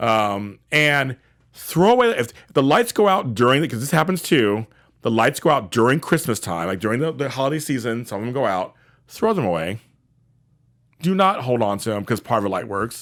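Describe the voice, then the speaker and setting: A man's medium-pitched voice at a fairly quick pace, with very wide pitch swings, on a very clean recording with a silent background. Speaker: professional organizer, show host. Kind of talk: tutorial. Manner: casual, repetitive.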